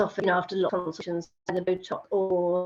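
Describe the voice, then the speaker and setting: A woman with an English accent at medium pitch and a moderate pace, with music in the background. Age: 60s. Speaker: patient. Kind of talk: testimony. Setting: video call. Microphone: poor audio with camera on.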